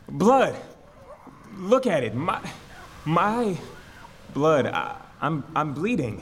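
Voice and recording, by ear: A very slow put-on character voice from a man, fairly high and fairly bright, with big pitch swings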